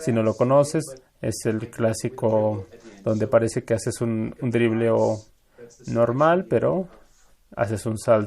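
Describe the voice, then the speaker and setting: This man speaks very slowly with long, frequent pauses. His pitch sits in the medium range. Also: ordinary pitch variation. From Latin America. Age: 40s. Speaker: magician and musician. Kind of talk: interview answering audience questions.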